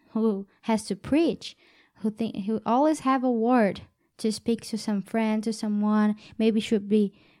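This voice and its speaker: At a fairly slow pace, a woman with a Portuguese accent speaks at a fairly high pitch on a very clean recording with a silent background. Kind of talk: casual faith conversation. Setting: studio. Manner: halting.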